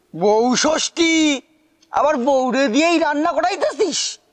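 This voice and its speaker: This is a put-on character voice with a high pitch. It unfolds at a very slow pace. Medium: short film. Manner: teasing, quarrelsome.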